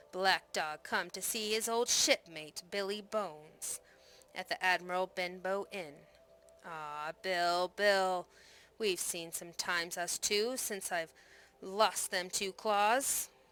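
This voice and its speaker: A woman growls in a put-on character voice at a medium pitch. She speaks at a fairly slow pace. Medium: read story. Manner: snarling, sly.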